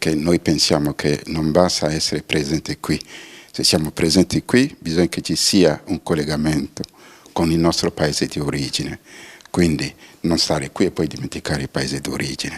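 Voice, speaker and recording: Noticeable background noise sits behind a man's very deep, low voice. The sound is dry and close with no echo, and his intonation stays fairly even. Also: moderate pace. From Benin. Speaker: diaspora cooperation coordinator. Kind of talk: TV interview.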